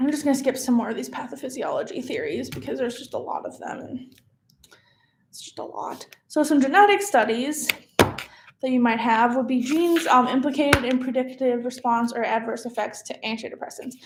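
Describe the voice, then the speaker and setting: Her loudness swings widely as a woman speaks at a high pitch and a fairly quick pace, with ordinary pitch variation. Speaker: medical student. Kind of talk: study review tutorial. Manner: fast; casual, hesitant with fillers.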